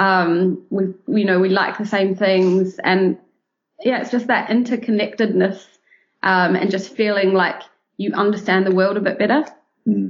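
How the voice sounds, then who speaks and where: A woman speaks at a moderate pace with a New Zealand accent, her medium pitch and fairly even intonation broken by long, frequent pauses. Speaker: travel blogger. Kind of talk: casual interview chat.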